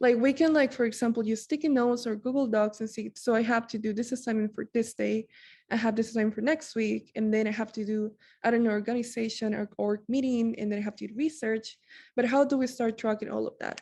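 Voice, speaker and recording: A woman's fairly high, somewhat breathy voice with a dark, mellow tone, fairly even intonation and a very fast pace, against a quiet background. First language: not English. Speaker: student peer mentor. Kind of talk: workshop presentation. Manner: casual, many filler words.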